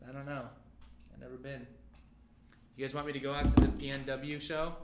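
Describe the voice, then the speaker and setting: A man speaks at a fairly quick pace, his pitch fairly high, his intonation flat and monotone, his loudness swinging widely. Noticeable background noise and audible room echo sit behind him. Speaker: livestream pen sale host. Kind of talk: live sale stream chat.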